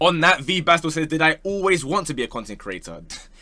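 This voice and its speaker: In a London accent, a man talks at a fairly quick pace with a bright, sharp tone on a very clean recording with a silent background. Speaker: football YouTuber. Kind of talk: casual Q&A chat.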